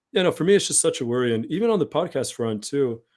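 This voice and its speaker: The recording is very clean, with a silent background. A man speaks at a fairly high pitch. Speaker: podcast host. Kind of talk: casual interview. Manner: fast.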